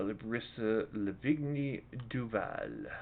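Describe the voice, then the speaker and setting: His pitch sits in the medium range for a man. He varies it in an ordinary way. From Canada, Winnipeg, Manitoba. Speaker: video game streamer. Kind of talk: casual gameplay commentary. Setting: live stream.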